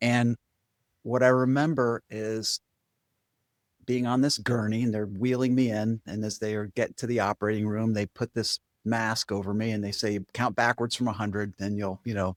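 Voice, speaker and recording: Speaking in an ordinary speaking voice, a man keeps a moderate pace and medium pitch with fairly even intonation, the sound dry and close with no echo. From Vermont, US. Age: 60s. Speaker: spiritual coach and meditation teacher. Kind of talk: podcast interview.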